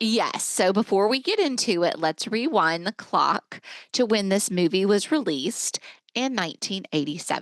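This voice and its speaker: Using a plain, everyday voice, a woman speaks at a moderate pace with lively intonation and very even loudness in a dry, close sound with no echo. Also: medium pitch for a woman. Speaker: podcast co-host. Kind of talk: casual podcast conversation.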